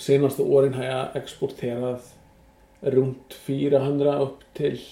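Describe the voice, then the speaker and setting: In an Icelandic accent, a man at medium pitch talks very slowly with monotone, flat intonation. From western Iceland. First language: Icelandic (speaking Swedish). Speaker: horse exporter. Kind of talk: interview. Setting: in his stable. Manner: halting.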